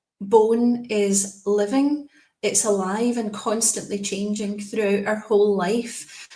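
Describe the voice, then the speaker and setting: In a Scottish accent, a woman speaks at a very slow pace with fairly even intonation. Her medium-pitched voice is somewhat breathy. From Scotland. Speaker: specialist nurse. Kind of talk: presentation.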